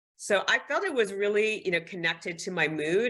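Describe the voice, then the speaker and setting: A woman is speaking here. Her pitch varies in an ordinary way. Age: 60s. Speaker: fashion and lifestyle influencer, former marketing executive. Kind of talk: podcast interview. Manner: conversational.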